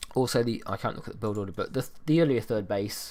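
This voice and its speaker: Speaking at a fairly quick pace, a man with a British accent has a fairly low-pitched voice. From Britain. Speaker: esports caster. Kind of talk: live commentary. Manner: casual, hesitant with fillers.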